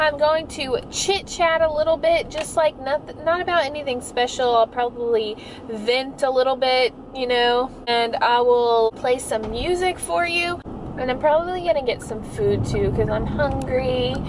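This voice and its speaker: The voice moves at a fairly slow pace with ordinary pitch variation. The sound is dry with no echo and has light background noise. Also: woman. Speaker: vlogger. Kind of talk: casual vlog chat. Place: car. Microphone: phone near.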